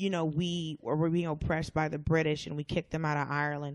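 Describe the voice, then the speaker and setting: A woman with an American accent speaks in a plain, everyday voice, fairly low in pitch. Her intonation is fairly even, and the background is quiet. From US South (Atlanta, Georgia). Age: 30s. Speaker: comedian. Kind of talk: casual chat.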